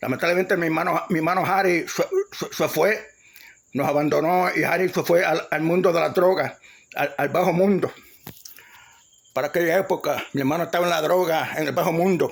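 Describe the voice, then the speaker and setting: This man speaks quickly, with fairly even intonation and a Puerto Rican accent. His voice sits high in pitch. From Puerto Rico, Ponce. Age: 60s. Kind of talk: testimony. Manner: halting, many repetitions and restarts.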